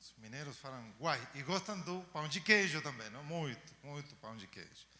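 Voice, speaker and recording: Here a man with a Chilean accent speaks at a moderate pace in a bright, sharp, fairly high voice, with lively intonation and big swings in loudness. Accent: Chilean accent in Portuguese, noticeable. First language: Spanish (speaking Portuguese). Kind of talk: lecture. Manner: hesitant fillers.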